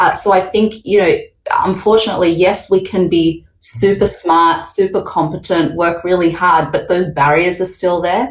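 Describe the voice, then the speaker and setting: A woman speaks at a moderate pace and medium pitch, with very even loudness, fairly even intonation and hardly any pauses. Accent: Australian. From Australia, Sydney. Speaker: panel moderator. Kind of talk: panel discussion.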